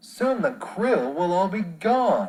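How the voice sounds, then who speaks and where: In a put-on character voice, a man speaks at a high pitch. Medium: read story. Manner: irritable.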